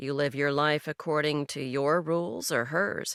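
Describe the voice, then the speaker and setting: On a very clean recording with a silent background, a put-on character voice comes through at a low-to-middle pitch. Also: moderate pace. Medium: read story. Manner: laconic, dry.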